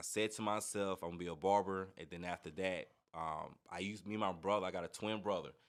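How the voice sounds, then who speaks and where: With an American accent, a man talks at a very fast pace, his very deep, low voice animated in tone. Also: very clean recording, silent background. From North Carolina (Goldsboro). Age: 30s. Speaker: barber instructor. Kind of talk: casual interview chat.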